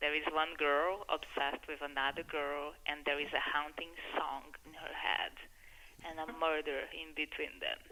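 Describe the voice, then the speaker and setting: Speaking at a moderate pace with a Brazilian accent, a woman uses a very deep, low pitch and monotone, flat intonation. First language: Portuguese. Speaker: filmmaker. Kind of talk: radio interview.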